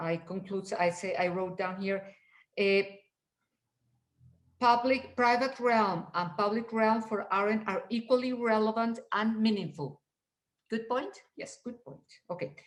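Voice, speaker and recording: A woman with a non-native accent speaks at a fairly slow pace and fairly high pitch. Her pitch varies in an ordinary way, with long, frequent pauses. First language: not English. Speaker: reading group participant. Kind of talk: seminar discussion.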